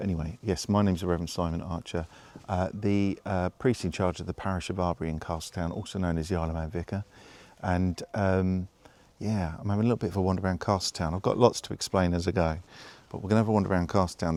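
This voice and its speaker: A soft-spoken man with a very deep, low pitch, a dark, mellow tone, fairly even intonation and a very fast pace. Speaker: vicar. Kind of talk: casual vlog narration while walking. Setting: outdoors, walking through town at night. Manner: quiet, talking softly; hesitant, many fillers.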